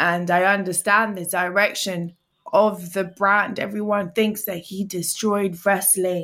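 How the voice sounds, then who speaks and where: Speaking in an African accent, a woman has a bright, sharp tone. Her intonation is monotone and flat, at a fairly slow pace. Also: medium pitch for a woman. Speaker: twitch streamer and podcaster. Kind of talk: casual chat.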